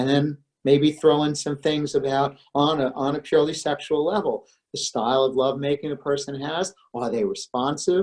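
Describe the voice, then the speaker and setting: At a moderate pace, a man with an ordinary speaking voice talks in a fairly high pitch with fairly even intonation. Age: 60s. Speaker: psychologist. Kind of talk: webinar lecture. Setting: online webinar. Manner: conversational, informal.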